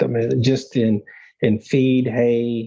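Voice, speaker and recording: Somewhat breathy, the voice has a dark, mellow tone and a Texan accent. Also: man. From South Texas. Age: 50s. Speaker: bucking bull breeder. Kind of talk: casual interview. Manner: halting, many fillers.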